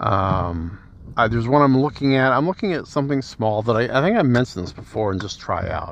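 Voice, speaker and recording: Fairly quick delivery with lively intonation. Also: man, medium pitch for a man. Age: 60s. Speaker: podcaster. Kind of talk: casual monologue. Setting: in a car. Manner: halting. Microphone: phone with cabled microphone.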